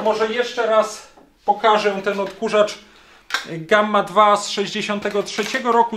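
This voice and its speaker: A man at a high pitch, monotone and flat, speaking at a fairly slow pace over light background noise. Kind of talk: tutorial commentary. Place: workshop.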